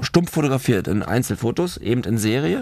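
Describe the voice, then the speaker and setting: Swinging very widely in pitch, a man talks at a moderate speed. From Germany, Berlin. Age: 30s. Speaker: film director in addiction recovery. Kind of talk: casual chat, personal life story.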